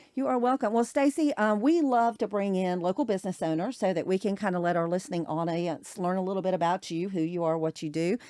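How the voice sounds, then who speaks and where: In a very clean recording with a silent background, a woman with a South Carolina accent talks at a very fast pace with hardly any pauses. Her medium-pitched voice has a dark, mellow tone and lively intonation. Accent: Southern US (South Carolina). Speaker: podcast host. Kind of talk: interview. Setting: studio.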